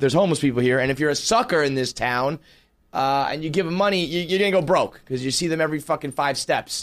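A very fast man's voice with an American accent, fairly high in pitch with ordinary pitch variation, on a very clean recording with a silent background. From New York City. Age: 30s. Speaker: podcast host. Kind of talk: casual monologue.

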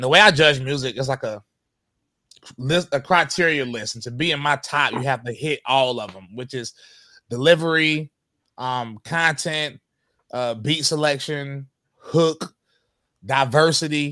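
Recorded very clean against a silent background, with a dry, close sound and no echo, a man speaks at a fairly high pitch and a fairly slow pace, his tone bright and sharp, with ordinary pitch variation, big swings in loudness, and long, frequent pauses. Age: 30s. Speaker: rapper. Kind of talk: interview. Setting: studio.

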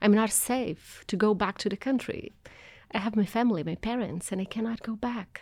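With a Portuguese accent, a woman talks at a fairly quick pace in a fairly high pitch with fairly even intonation, on a very clean recording with a silent background. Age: 40s. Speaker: anthropologist and activist. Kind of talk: interview.

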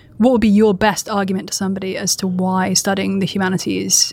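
Talking at a very fast pace, a woman with a British accent keeps a monotone, flat intonation. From Britain. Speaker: co-interviewer, writer. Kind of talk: interview.

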